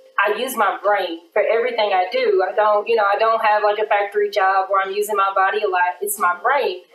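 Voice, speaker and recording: This woman speaks fairly quickly with hardly any pauses, in a monotone, flat intonation. Audible room echo is present. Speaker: attorney. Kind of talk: personal testimony in casual interview. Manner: open, candid and conversational. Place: studio.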